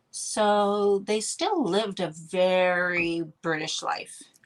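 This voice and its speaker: A woman of medium pitch with a Canadian accent. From Canada. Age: middle-aged. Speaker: wellness mentor, former farmer. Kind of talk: podcast interview. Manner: energetic; many fillers and restarts.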